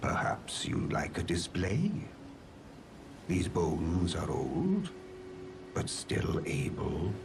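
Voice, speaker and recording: In a put-on character voice, a man speaks very slowly in a very deep, low register, with long, frequent pauses and clear background noise. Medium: video game. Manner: polite, gentle.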